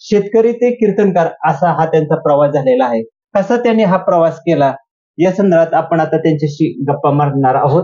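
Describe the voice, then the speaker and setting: With lively intonation and very even loudness, a man talks in a high pitch. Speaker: interviewer, series host. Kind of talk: show introduction.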